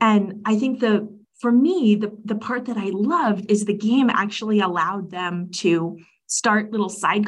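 This woman's voice is somewhat breathy, with ordinary pitch variation and a moderate pace. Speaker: architect and design lead. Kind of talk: casual interview conversation.

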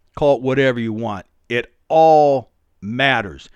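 An ordinary speaking voice moves at a fairly slow pace with ordinary pitch variation. The sound is dry and close, with no echo. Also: man. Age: 60s. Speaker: podcast host, private security contractor. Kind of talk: solo podcast monologue. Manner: casual with frequent fillers.

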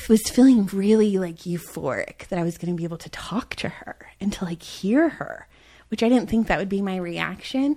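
The tone is dark and mellow, and the pace is moderate. Pitch varies in an ordinary way. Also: woman. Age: 30s. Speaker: podcast host. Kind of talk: casual chat.

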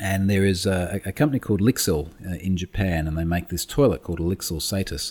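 Speaking at a very fast pace in an Australian accent, a man with a very deep, low pitch sounds somewhat breathy and uses ordinary pitch variation. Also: hardly any pauses. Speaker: security expert. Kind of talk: interview. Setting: remote call.

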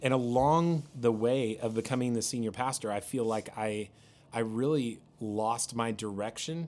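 This is a plain, everyday voice, moving at a moderate pace with ordinary pitch variation. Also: man, medium pitch for a man. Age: 40s. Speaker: pastor. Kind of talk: casual chat.

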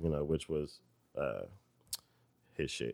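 In a very clean recording with a silent background, a man with an American accent talks in a very deep, low pitch. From Detroit. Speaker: rapper and producer. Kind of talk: casual interview chat. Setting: office recording.

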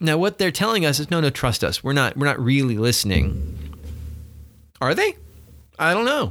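A man's fairly high voice with vocal fry, very wide pitch swings, very even loudness, a moderate pace and long, frequent pauses. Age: 40s. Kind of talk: casual chat. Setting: office.

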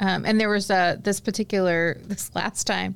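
A woman at medium pitch with an ordinary speaking voice. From Indianapolis, Indiana, US Midwest. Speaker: leadership consultant. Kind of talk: casual chat.

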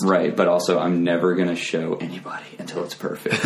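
A man speaks with a very deep, low voice over noticeable background noise. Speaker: podcast guest, comedy performer. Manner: monotone.

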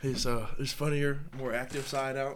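A man with an American accent at medium pitch and moderate pace, with audible room echo. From North Carolina, Charlotte. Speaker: college football player. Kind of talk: casual interview.

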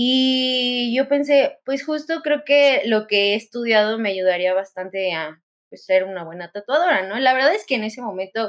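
An unremarkable speaking voice moves at a fairly slow pace with lively intonation, recorded very cleanly against a silent background. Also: woman. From Mexico. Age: 20s. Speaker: tattoo artist. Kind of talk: interview.

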